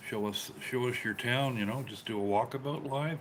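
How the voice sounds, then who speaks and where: Speaking with a Canadian accent, a man has an unremarkable speaking voice at a medium pitch with ordinary pitch variation. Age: 60s. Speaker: live streamer. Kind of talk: casual live-stream chat.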